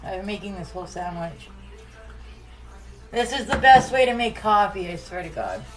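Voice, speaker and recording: Music plays in the background and room echo is audible as the voice moves at a moderate pace with ordinary pitch variation, big swings in loudness, and long, frequent pauses. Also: woman. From Nova Scotia, Canada. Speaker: home cook streamer. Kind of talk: casual live cooking stream.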